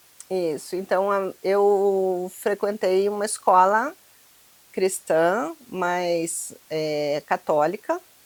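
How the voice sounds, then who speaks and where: This woman's medium-pitched voice moves along at a very slow pace. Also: ordinary pitch variation. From Curitiba, southern Brazil. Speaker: human development mentor. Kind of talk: interview conversation.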